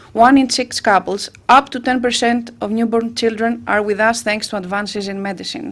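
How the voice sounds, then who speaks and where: With a Greek accent, a woman speaks at a moderate pace and fairly high pitch, keeping her intonation fairly even with hardly any pauses. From Greece. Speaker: patient advocate. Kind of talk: personal testimony speech. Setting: parliament roundtable event.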